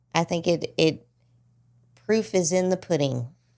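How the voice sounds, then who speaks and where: Here is a woman with a strong Southern US accent. The recording is very clean, with a silent background. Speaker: podcast host. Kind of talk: casual chat.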